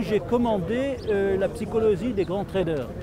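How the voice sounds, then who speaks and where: A man's high voice at a fairly slow pace, with ordinary pitch variation, audible room echo and noticeable background noise. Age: 60s. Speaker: retired trader, trading school student. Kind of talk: testimony interview. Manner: formal, hesitant with many fillers.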